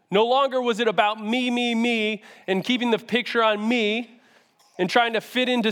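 Loud and at a moderate pace, a man talks with an American accent. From US Northeast, Syracuse NY. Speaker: youth pastor. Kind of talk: sermon. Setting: church stage with audience. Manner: animated.

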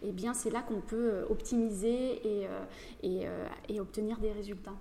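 With a plain, everyday voice, a woman speaks at a moderate pace and a fairly high pitch, her intonation fairly even. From northeastern France (Château-Thierry, near Reims). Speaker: facialist and massage therapist. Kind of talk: casual interview. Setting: studio.

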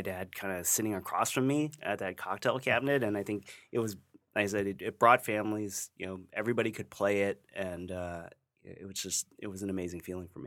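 A man with an American accent speaks at a fairly quick pace, with fairly low pitch and fairly even intonation. His tone is bright and sharp, and the recording is very clean with a silent background. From US Midwest, Ohio. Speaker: game collector and historian. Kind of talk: casual chat.

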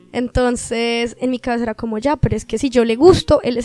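A high-pitched woman at a moderate pace, in a dry, close sound with no echo. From Colombia, Caribbean coast. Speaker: podcast guest. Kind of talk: casual chat.

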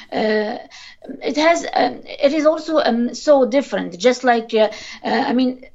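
Over noticeable background noise, a woman speaks very slowly in a high pitch with ordinary pitch variation. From Tunisia. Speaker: linguist. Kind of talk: interview. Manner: hesitant, many fillers.

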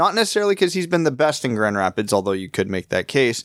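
The recording is very clean, with a silent background. A man's voice comes across dry and close, without any echo. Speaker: hockey podcast host. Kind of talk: casual chat.

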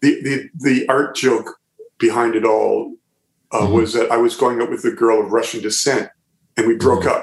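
A man with an Ontario accent at a moderate pace. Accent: Canadian (Ontario). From Southern Ontario, Canada. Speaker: musician and visual artist. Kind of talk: casual interview chat. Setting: remote call from his art studio.

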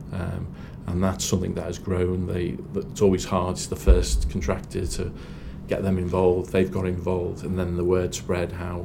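A man with a Liverpool accent speaks at a very deep, low pitch with fairly even intonation. Noticeable background noise and audible room echo fill the recording. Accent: Scouse (Liverpool). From Liverpool, England. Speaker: property development project director. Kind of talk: interview.

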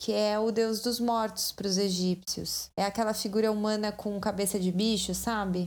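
Speaking at a moderate pace, a woman keeps her intonation flat and monotone. Her loudness stays very even and she hardly pauses. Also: medium pitch for a woman. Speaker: podcast host. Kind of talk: scripted narration. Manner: casual.

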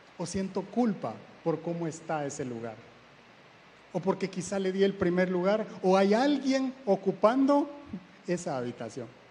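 Fairly slow delivery with very wide pitch swings and long, frequent pauses. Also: man, high pitch for a man. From Guatemala. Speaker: church speaker. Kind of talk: sermon.

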